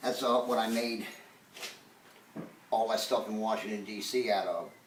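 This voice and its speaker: Noticeable background noise fills the clip, along with audible room echo. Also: man. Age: 60s. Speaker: woodworker. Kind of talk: casual interview in workshop. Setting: workshop.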